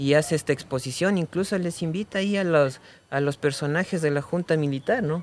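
In a dry sound with no echo and light background noise, a man talks at a moderate pace with ordinary pitch variation. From Ecuador. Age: 30s. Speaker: mask and effigy artisan; guest. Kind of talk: casual conversation. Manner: halting, repeats words. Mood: calm, warm. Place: studio. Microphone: studio mic.

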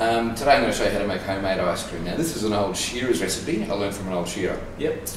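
Amid noticeable background noise and audible room echo, a man talks at a very fast pace with a fairly low pitch. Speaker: cooking demonstrator. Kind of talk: tutorial. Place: kitchen. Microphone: camera far.

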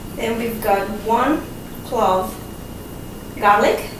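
A woman speaks at a slow pace. The room gives off an audible echo.

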